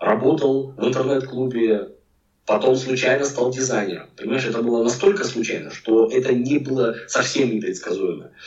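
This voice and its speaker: In an ordinary speaking voice, the man talks at a medium pitch and a moderate tempo. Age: 40s. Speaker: packaging designer. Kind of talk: casual interview chat.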